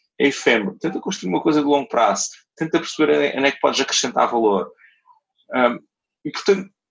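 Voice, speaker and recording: Talking at a very fast pace with long, frequent pauses, a man uses a fairly high pitch, very wide pitch swings and vocal fry. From Portugal, Algarve (Portimão). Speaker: entrepreneur. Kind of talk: interview. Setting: remote call.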